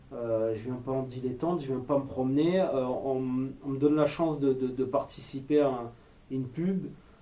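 Audible room echo surrounds a man who speaks at a moderate pace in a dark, mellow tone with fairly even intonation. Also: medium pitch for a man. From Marseille, southern France. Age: 30s. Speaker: actor and screenwriter, former police officer. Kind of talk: interview.

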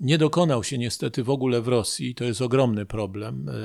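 A man's voice with vocal fry and ordinary pitch variation, in a very clean recording with a silent background. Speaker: history professor. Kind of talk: radio interview. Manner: formal.

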